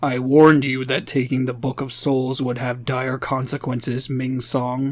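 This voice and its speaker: A gruff, put-on character voice from a man, medium in pitch, flat and monotone, at a moderate pace. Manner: stern, warning.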